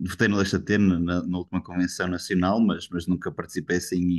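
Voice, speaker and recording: In a northern Portuguese accent, a man speaks with a very deep, low pitch. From northern Portugal. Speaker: party member. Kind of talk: online debate. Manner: halting.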